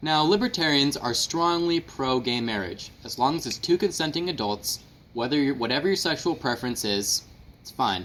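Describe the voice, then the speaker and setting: Here is a normal speaking voice at a moderate pace. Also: man, fairly high pitch for a man, lively intonation. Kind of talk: mock infomercial pitch explaining a political view.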